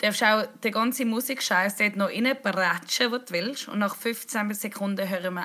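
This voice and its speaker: A woman's fairly high, bright, sharp voice with a Swiss accent and ordinary pitch variation. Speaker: podcast host. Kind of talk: casual chat.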